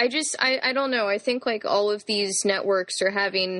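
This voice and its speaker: A woman with medium pitch uses an ordinary speaking voice, talking at a moderate pace with fairly even intonation against a quiet background. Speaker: guest. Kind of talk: casual chat.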